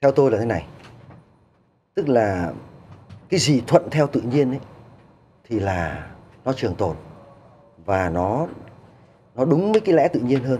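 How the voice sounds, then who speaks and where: Over light background noise, a man speaks at a fairly slow pace with long, frequent pauses, a dark, mellow tone, vocal fry and very wide pitch swings. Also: medium pitch for a man. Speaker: human potential researcher. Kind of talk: TV studio interview. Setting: studio. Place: studio.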